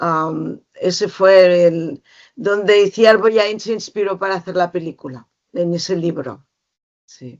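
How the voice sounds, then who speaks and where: A woman at medium pitch talks at a very slow pace, her loudness swinging a lot while her pitch varies in an ordinary way. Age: 60s. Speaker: educator and author. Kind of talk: interview talk to a small audience. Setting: library with small audience.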